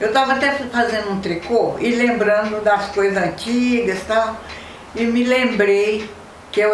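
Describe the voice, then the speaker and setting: A woman with a fairly high voice and ordinary pitch variation speaks at a fairly slow pace, with audible room echo and noticeable background noise. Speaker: football fan. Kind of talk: documentary interview.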